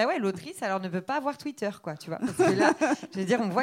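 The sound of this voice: The speaker reads in an unforced reading voice with lively intonation.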